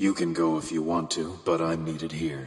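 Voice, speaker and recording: Doing a put-on character voice, a man growls at a very deep, low pitch in a monotone, flat delivery. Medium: audio drama. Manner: terse, guarded.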